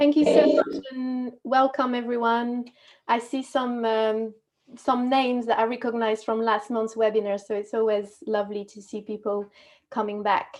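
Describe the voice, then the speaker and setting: In a French accent, a woman speaks at a moderate pace with fairly high pitch. Her intonation stays fairly even over a quiet background. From France, Normandy. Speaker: movement and communication coach. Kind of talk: webinar presentation. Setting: video call webinar.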